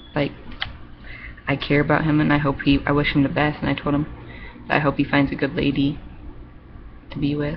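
Over noticeable background noise, a woman speaks at a fairly quick pace. She takes long, frequent pauses. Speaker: vlogger. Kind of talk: casual webcam monologue, reading aloud and rambling. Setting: webcam video, home. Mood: upset about relationship. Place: home room. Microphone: webcam.

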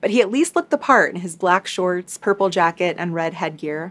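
A woman talks at a moderate pace. Her tone is serious. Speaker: true crime YouTuber. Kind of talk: true-crime narration, scripted storytelling recap. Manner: measured, serious storyteller with light chatty asides. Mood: calm, serious storytelling. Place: home room.

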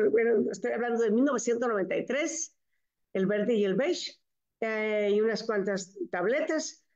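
Against a quiet background, a woman speaks in a Mexican accent with ordinary pitch variation. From Mexico, Michoacán. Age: 70s. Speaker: network marketing distributor. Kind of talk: testimony. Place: home room. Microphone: video call.

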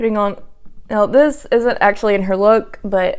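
Over a quiet background, a woman talks at a moderate pace with fairly even intonation. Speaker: beauty vlogger. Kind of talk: casual vlog chat. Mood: playful, self-deprecating. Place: home room. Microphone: lapel.

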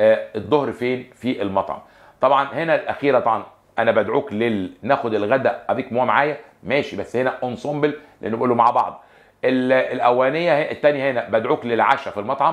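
Against a quiet background, a man with an Egyptian accent speaks at a medium pitch with ordinary pitch variation. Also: moderate pace. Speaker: French teacher. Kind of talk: lecture. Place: studio. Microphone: lapel.

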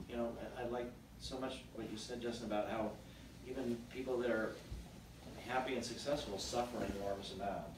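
Audible room echo and noticeable background noise surround a man talking at a fairly quick pace and medium pitch. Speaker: psychedelic research nonprofit founder. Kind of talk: fireside chat talk to audience. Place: home room. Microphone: camera far.

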